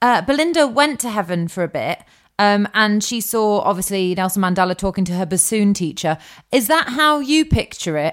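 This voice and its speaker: On a very clean recording with a silent background, a woman at a medium pitch talks at a moderate pace with very wide pitch swings. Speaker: podcast co-host. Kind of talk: casual chat. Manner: joking, bantering.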